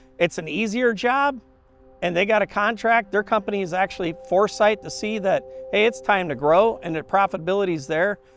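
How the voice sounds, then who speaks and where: A man talks at a fairly quick pace with a high pitch. Music plays in the background. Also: lively intonation. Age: 50s. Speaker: airline pilot. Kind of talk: interview testimony.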